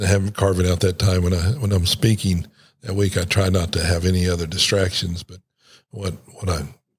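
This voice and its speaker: Somewhat breathy speech comes at a fairly quick pace on a very clean recording with a silent background. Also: man. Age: 60s. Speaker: pastor. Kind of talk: casual chat. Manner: halting, many repeated words.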